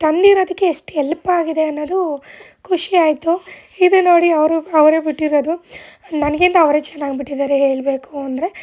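Dark and mellow in tone, a woman's high-pitched voice moves in fairly even intonation. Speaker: vlogger. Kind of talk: casual vlog talk.

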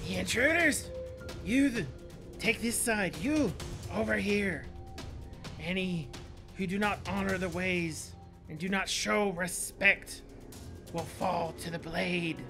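A put-on character voice, raspy and at middle pitch, speaks at a fairly slow pace with long, frequent pauses. Clear music plays in the background. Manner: commanding, authoritative.

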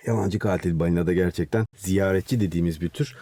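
Dry, close sound without echo around a man's dark, mellow tone. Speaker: marine mammal scientist. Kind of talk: interview. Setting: studio.

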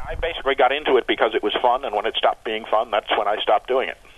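Over noticeable background noise, a man with a medium pitch and ordinary pitch variation talks at a very fast pace. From New England, US. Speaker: master modeler. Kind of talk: interview. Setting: phone call.

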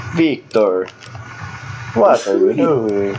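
A put-on character voice at low-to-middle pitch. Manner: dramatic, ominous.

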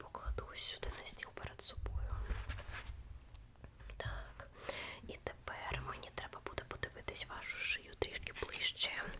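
A woman whispers in a gentle tone at a fairly slow pace. She leaves long, frequent pauses, and background noise is noticeable. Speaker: ASMR creator. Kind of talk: ASMR role-play, close personal-attention talk as a tattoo artist. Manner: soft, gentle, whispery, slow.

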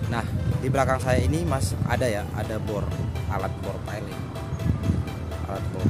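Over loud background music, a man speaks with ordinary pitch variation. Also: dry sound with no echo. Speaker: construction site vlogger. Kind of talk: casual vlog chat. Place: open country. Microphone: phone near.

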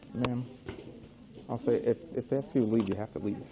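A man speaks at a fairly quick pace in a medium-pitched voice with a dark, mellow tone, some vocal fry, and ordinary pitch variation.

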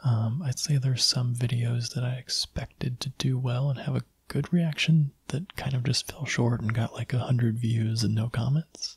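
Soft-spoken and somewhat breathy, the voice keeps fairly even intonation at a moderate pace, with a dry sound with no echo over a quiet background. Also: man. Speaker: video creator. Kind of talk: casual vlog chat. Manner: soft-spoken, quiet close-mic voice. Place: home room. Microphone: studio mic.

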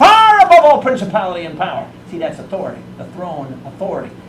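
There is audible room echo and light background noise as a man talks at a fairly quick pace with lively intonation. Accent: American. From Chicago, US Midwest. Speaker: evangelist. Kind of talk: sermon. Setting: church.

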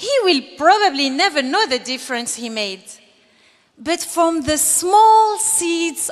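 A woman's extremely high-pitched voice, music in the background. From Algeria. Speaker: graduating student giving commencement speech. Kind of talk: graduation speech, earnest and polished, delivered to an audience. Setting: stage with audience. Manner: formal. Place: stage. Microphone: podium.

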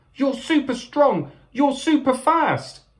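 A squeaky, put-on character voice, female-sounding and high-pitched, delivered at a fairly slow pace. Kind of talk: storybook read-aloud. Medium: read story. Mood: urgent, admiring.

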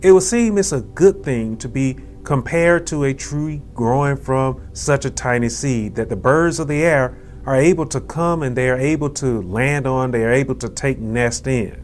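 A man at a moderate pace, with ordinary pitch variation, over music in the background. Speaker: preacher / minister. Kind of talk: Sunday school sermon lesson.

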